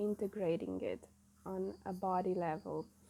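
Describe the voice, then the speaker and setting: Speaking at a very slow pace, a woman has a non-native accent. Her tone is dark and mellow. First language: not English. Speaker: spiritual channeler. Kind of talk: spiritual message monologue. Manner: halting, many fillers.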